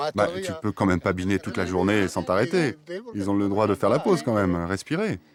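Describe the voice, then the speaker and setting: A man speaks at a fairly low pitch. His pace is fairly quick. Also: ordinary pitch variation. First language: Spanish (speaking French). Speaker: cooperative farm worker. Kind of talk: interview while working.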